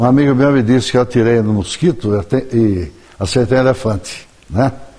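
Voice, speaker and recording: Over noticeable background noise, the intonation rises and falls in a lively way as this man talks. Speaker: journalist and writer. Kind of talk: TV interview.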